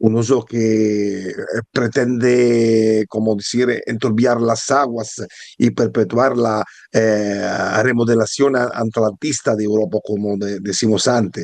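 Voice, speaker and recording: A very slow delivery in an Italian accent with fairly even intonation. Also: man, medium pitch for a man. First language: Italian (speaking Spanish). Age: 50s. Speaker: philosophy historian and author. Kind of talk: book presentation talk. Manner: halting, many hesitations.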